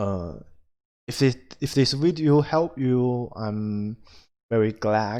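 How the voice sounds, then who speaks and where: Pausing long and often, a man speaks at a very slow pace in a dark, mellow, medium-pitched voice with ordinary pitch variation. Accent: non-native. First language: not English. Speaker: indie game developer. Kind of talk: screen-recorded tutorial. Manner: halting, many fillers.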